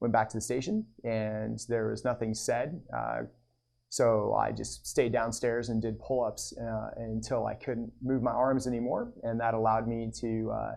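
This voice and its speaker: A man's voice at a moderate pace over a quiet background. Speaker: fire captain. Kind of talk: personal testimony. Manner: monotone; halting, many fillers.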